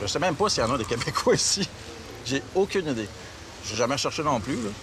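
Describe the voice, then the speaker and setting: Over noticeable background noise, a man with a medium-pitched voice talks very fast with lively intonation and long, frequent pauses. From Quebec. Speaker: travel agency owner. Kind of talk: casual interview. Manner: halting, many repetitions and false starts.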